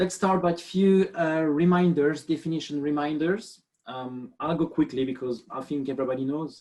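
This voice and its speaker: Speaking with a French accent, a man keeps a moderate pace. His fairly high pitch has ordinary variation. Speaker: biomechanist. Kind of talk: webinar lecture. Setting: video call.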